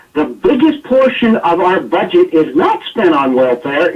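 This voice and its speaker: This man has an American accent and a high pitch. His pitch swings very widely. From United States. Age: 50s. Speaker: political commentator. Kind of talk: radio talk show discussion. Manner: animated.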